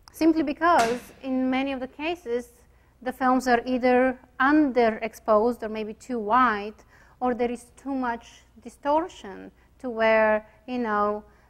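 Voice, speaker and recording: Speaking at a fairly slow pace with a Bulgarian accent, a woman uses a high pitch and fairly even intonation. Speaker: chiropractic radiologist. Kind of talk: lecture. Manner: hesitant, many fillers.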